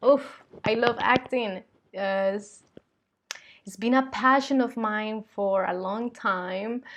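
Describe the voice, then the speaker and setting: A woman with a Spanish accent at a very slow pace, fairly high in pitch, with ordinary pitch variation and long, frequent pauses. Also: big swings in loudness. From Colombia. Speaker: vlogger and spiritual channeler. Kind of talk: casual vlog monologue. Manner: hesitant, many fillers.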